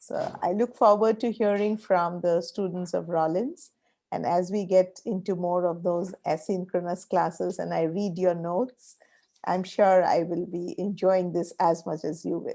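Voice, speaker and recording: A woman with an Indian accent speaks at a moderate pace and medium pitch. Her tone is dark and mellow, her intonation fairly even. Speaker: professor. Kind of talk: online class meeting remarks.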